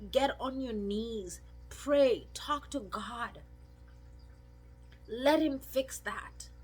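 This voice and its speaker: The speech moves at a very slow pace. Long, frequent pauses fill it. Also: woman. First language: not English. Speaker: video blogger. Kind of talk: personal testimony. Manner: emotional, conversational.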